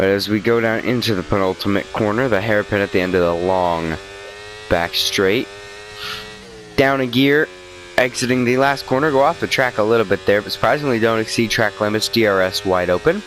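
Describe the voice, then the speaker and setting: A man talks at a fairly quick pace with a fairly low pitch and ordinary variation. Noticeable background noise is audible. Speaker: gaming video creator. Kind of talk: gameplay commentary.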